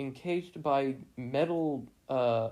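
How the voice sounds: Pitch moves in an ordinary way through this natural reading voice.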